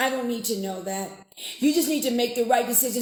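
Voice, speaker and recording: Over noticeable background noise, a woman speaks in an animated tone at a high pitch. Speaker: political talk radio host. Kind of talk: live political commentary stream. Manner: conversational, animated.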